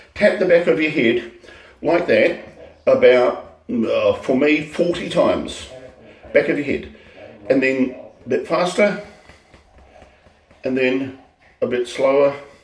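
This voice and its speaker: A man talks at a fairly slow pace with long, frequent pauses, with noticeable background noise and audible room echo. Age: 60s. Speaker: teacher sharing health tips. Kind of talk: casual vlog monologue. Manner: halting, many fillers and repetitions.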